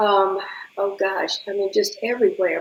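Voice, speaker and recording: Noticeable background noise sits behind a voice with a Southern US accent. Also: woman. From Atlanta, Georgia, US South. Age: 80s+. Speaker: interview guest. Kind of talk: casual chat. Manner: animated.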